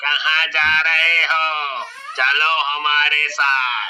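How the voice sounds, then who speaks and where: Shouting in a cartoonish character voice, a man pitches his voice fairly high. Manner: commanding.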